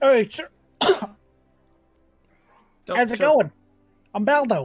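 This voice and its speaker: A put-on character voice speaks at a fairly high pitch and a fairly slow pace. Music plays faintly in the background. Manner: casual, greeting.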